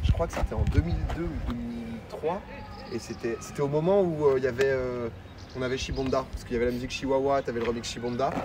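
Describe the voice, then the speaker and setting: Noticeable background noise runs under a man's very fast speech. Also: medium pitch for a man, ordinary pitch variation. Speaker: streamer. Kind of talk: live stream tour, casual chat. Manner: animated.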